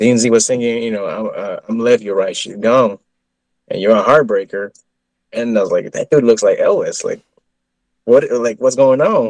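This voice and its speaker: The speaker has an American accent and a moderate pace, with long, frequent pauses. The sound is dry and close, with no echo. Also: man. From Texas. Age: 30s. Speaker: Elvis tribute artist. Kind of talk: interview. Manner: halting.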